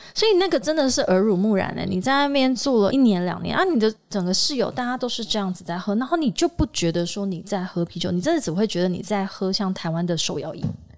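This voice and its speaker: Lively intonation runs through very fast speech with hardly any pauses, set against noticeable background noise. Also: woman, medium pitch for a woman. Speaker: exhibition industry PR and podcaster. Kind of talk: casual chat. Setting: office meeting room. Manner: animated.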